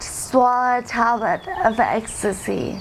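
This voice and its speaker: A woman with a high pitch speaks in fairly even intonation over noticeable background noise. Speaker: former drug user. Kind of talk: testimony. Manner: slow speech.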